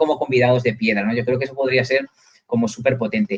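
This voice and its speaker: Pitch varies in an ordinary way as a man talks. His pace is very fast. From Catalonia, Spain. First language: Catalan (speaking Spanish). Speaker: university lecturer. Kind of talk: live video interview.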